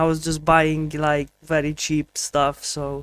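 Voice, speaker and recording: Pitched fairly high, a man speaks with a Polish accent. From Poland. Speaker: streamer learning Spanish. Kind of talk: casual live stream chat. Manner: halting, with repetitions and fillers.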